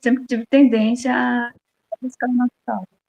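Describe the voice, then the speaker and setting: A woman's fairly high voice, somewhat breathy with a dark, mellow tone, in a dry, close sound with no echo. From Brazil, Bahia (rural interior). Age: 60s. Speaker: farmer and interviewee. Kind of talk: interview.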